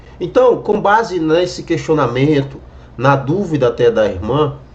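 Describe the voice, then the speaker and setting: A man with a fairly high pitch speaks at a fairly slow pace. His pitch swings very widely over noticeable background noise. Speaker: evangelical YouTuber commenting on a video. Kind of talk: reaction video commentary.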